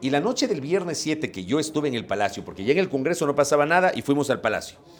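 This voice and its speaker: A man speaks very fast at a fairly high pitch. Noticeable background noise is present. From Ecuador (Ambato, later Guayaquil). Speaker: journalist and broadcaster. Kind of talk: interview.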